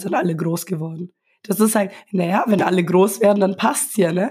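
This woman's voice is somewhat breathy and sits at medium pitch. Her intonation stays fairly even. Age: 20s. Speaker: lactation consultant. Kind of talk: interview. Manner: soft-spoken.

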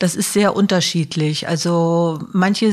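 Speaking at a fairly slow pace, a woman uses a plain, everyday voice at a fairly low pitch with fairly even intonation. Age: 60s. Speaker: social worker, head of a support service. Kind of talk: interview.

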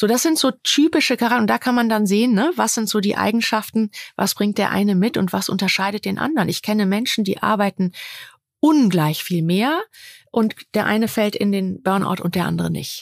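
A woman with a plain, everyday voice speaks at a medium pitch and fairly quick pace, with lively intonation and very even loudness, recorded dry and close with no echo in a very clean recording, silent background. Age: 50s. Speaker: coach. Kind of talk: interview. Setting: at a host's home.

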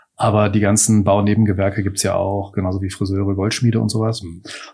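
Somewhat breathy and fairly low-pitched, a man speaks very fast in a monotone, flat way. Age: 50s. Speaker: master baker, entrepreneur and parliamentary candidate. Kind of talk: interview. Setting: in-person interview at his bakery offices.

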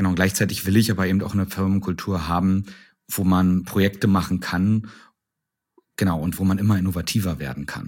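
On a very clean recording with a silent background, a man talks at a fairly quick pace and a fairly low pitch. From Brandenburg, eastern Germany (Strausberg). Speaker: startup CEO. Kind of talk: interview. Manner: hesitant, many fillers.

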